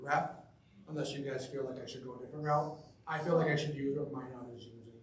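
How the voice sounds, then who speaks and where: At a very fast pace, a man speaks with a fairly high pitch. Noticeable background noise and audible room echo surround his voice. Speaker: youth hockey referee coordinator. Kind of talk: board meeting presentation.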